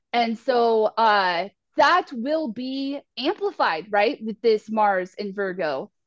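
A woman talks at a very slow pace, her fairly high pitch swinging very widely. The sound is dry and close, with no echo. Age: 30s. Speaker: astrologer and spiritual life coach. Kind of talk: casual astrology forecast chat.

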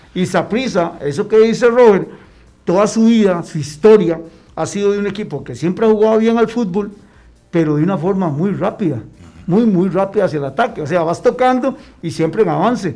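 Music plays in the background as a man talks. His pitch is high and his pace fairly quick. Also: ordinary pitch variation. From Costa Rica, Heredia. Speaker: former footballer. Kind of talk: casual chat.

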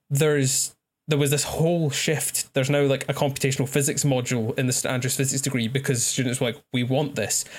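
Very fast and somewhat breathy, a man talks in a fairly high pitch with monotone, flat intonation and a Scottish accent. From Scotland. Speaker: astrophysics graduate, incoming PhD student. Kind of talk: casual chat.

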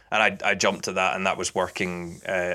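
A man with a Scottish accent speaks at a moderate pace in a very deep, low pitch with a bright, sharp tone. His intonation is monotone and flat, on a very clean recording with a silent background. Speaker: football commentator. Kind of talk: casual interview chat.

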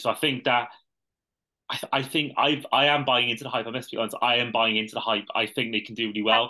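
Against a quiet background, a man with a British accent talks at a very fast pace in a bright, sharp tone with fairly even intonation. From UK. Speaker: podcast host. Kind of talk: casual chat.

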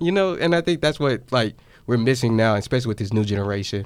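Speaking very rapidly, a man keeps his pitch varying in a usual way. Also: very clean recording, silent background. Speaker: college student podcast host. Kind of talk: casual chat.

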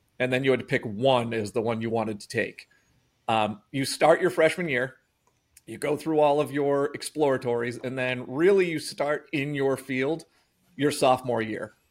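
Recorded very cleanly against a silent background, a man with an American accent speaks at a moderate pace and medium pitch, with ordinary pitch variation and big swings in loudness. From Massachusetts. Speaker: electrician. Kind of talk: interview. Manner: hesitant with fillers.

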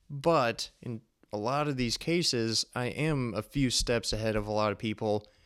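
A man with a plain, everyday voice speaks at a moderate pace with medium pitch and ordinary pitch variation, on a very clean recording with a silent background. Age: 20s. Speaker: podcast host, engineer and endurance athlete. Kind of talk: solo podcast monologue.

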